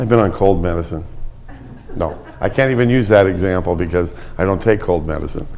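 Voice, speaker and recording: Audible room echo surrounds a man talking at a fairly quick pace. His pitch varies in an ordinary way. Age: 70s. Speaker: Bible class teacher. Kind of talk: Bible class lecture. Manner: halting, many fillers.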